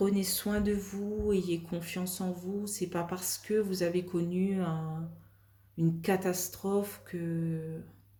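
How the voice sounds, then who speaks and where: A woman speaks at a very slow pace in a dark, mellow, somewhat breathy tone with monotone, flat intonation and audible room echo. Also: medium pitch for a woman. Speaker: tarot card reader. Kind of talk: tarot reading. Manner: calm, soft; hesitant, many fillers.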